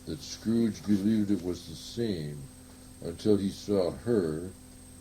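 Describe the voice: Here the reading aloud is plain.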